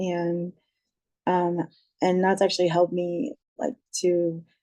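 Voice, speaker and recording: Speaking with an American accent, a woman has a dark, mellow tone. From Ohio. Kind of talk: panel discussion.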